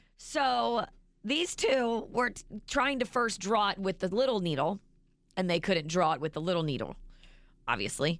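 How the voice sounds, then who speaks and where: With vocal fry and a medium pitch, a woman speaks at a moderate pace, her pitch swinging very widely between long, frequent pauses. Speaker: radio host. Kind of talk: casual banter on a radio morning show. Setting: studio.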